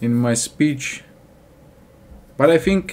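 A man talks at a very slow pace. He has a Russian accent. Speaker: English learner vlogger. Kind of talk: casual talk to camera. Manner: hesitant, halting. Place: home room. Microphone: webcam.

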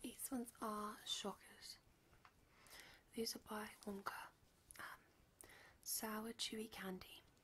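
A whispered voice with a relaxed tone. It moves at a very slow pace, broken by long, frequent pauses. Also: woman. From UK. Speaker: ASMR content creator. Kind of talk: casual talk to camera, candy haul review. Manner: soft-spoken, relaxed. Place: home room. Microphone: studio mic.

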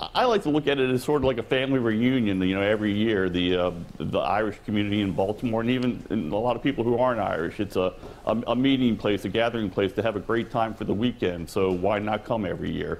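The speaker is a man with a very fast delivery. Pitch variation is ordinary. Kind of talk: interview answer. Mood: friendly, upbeat. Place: hall.

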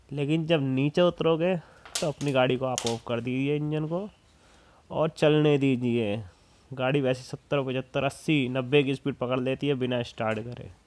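The speaker talks at a fairly slow pace with fairly even intonation. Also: man. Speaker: motorbike rider vlogger. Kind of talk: casual vlog chat. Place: motorbike.

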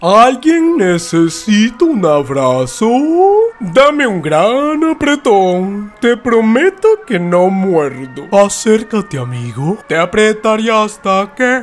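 In a put-on character voice, a female-sounding speaker talks very slowly at a medium pitch with very wide pitch swings while faint music plays in the background. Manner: falsely sweet, menacing.

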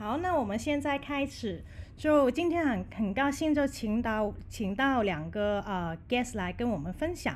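A woman speaks at a fairly slow pace with lively intonation over light background noise. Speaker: discussion moderator. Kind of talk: hosting online panel. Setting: voice chat call. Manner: halting, many fillers. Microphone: video call.

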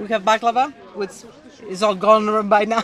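A woman is speaking, with crowd noise in the background. Her voice sounds dry, with no echo. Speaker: market vendor. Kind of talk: interview answer. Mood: warm, friendly. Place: market. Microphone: handheld.

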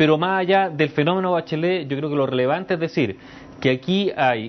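The man's pitch moves in an ordinary way. He keeps up a fairly quick pace. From Chile. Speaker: political commentator. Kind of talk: news analysis interview. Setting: remote link from radio studio. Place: studio. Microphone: lapel.

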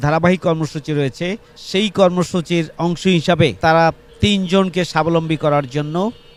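A man with a fairly high pitch is heard above noticeable background noise. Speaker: city-level political party leader. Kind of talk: political speech at a ceremony. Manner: formal.

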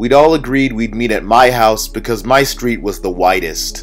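A man is speaking. Music plays in the background. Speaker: audiobook narrator. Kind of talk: audiobook reading. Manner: monotone.

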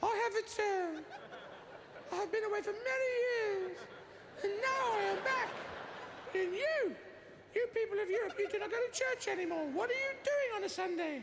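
Squeaky put-on character voice at a moderate pace, with long, frequent pauses and clear background noise. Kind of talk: stand-up comedy performance, voicing a character. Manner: authoritative, booming.

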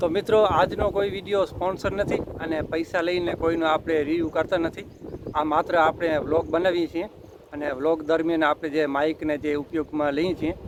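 There is noticeable background noise behind this man. His pitch is fairly high, with fairly even intonation. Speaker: vlogger. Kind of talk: casual vlog narration / product review. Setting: outdoors in forest.

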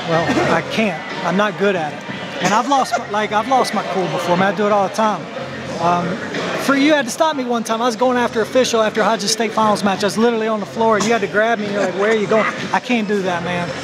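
Over loud background noise, the speaker races along at a very fast pace with ordinary pitch variation. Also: man. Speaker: wrestling coach. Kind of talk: interview answer. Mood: reflective, candid. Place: gym. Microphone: phone near.

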